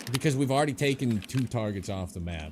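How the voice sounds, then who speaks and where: With an animated tone and very wide pitch swings, a man speaks at a moderate pace. Noticeable background noise is present. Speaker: gaming streamer. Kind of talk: live gameplay commentary. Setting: live stream. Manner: casual, animated.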